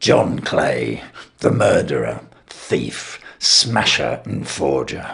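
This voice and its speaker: The speaker uses a raspy, put-on character voice. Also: man. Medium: read story. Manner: lofty, consequential.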